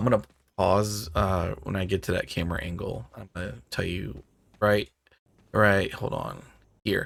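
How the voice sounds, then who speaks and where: A man talks at a moderate pace and fairly low pitch with vocal fry. Long pauses come often. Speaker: gaming video creator. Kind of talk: game walkthrough tutorial. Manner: casual, conversational.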